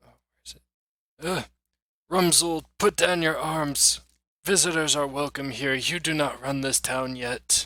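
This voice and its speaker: Putting on a character voice, a man talks at a fairly slow pace with a fairly high pitch. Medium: actual play. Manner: patient, welcoming.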